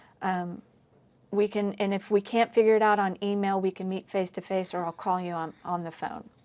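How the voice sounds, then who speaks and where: In an unremarkable speaking voice, a woman talks at medium pitch with fairly even intonation. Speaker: history professor. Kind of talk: lecture. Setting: recorded online lecture.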